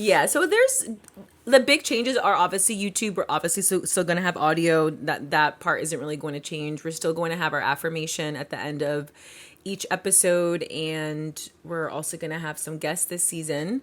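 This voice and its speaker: A woman's fairly low voice, with ordinary pitch variation, moves along at a moderate pace. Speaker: podcast co-host. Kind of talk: casual chat.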